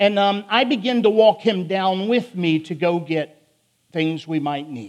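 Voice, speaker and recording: At a fairly slow pace, a man with a Philadelphia accent talks at a high pitch with ordinary pitch variation. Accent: Philadelphia, northern US. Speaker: prison ministry preacher. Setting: church sermon. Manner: loud, emotional.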